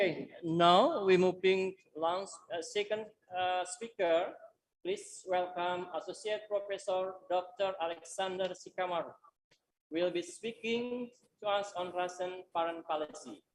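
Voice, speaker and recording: A woman with an Indonesian accent speaks fairly slowly, her intonation fairly even. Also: medium pitch for a woman. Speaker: university lecturer and moderator. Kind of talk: webinar moderation.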